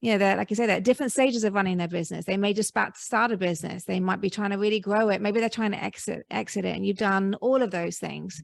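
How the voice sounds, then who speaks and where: A woman with a British accent talks at a very fast pace with hardly any pauses, her intonation fairly even over a quiet background. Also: medium pitch for a woman. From Britain. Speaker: podcast host. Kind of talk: interview.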